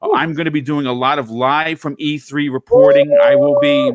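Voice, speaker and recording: A man speaks in an American accent at a fairly high pitch. He keeps a moderate pace with ordinary pitch variation. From New York City. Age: 40s. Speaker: gaming YouTuber, former police youth officer. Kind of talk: casual chat.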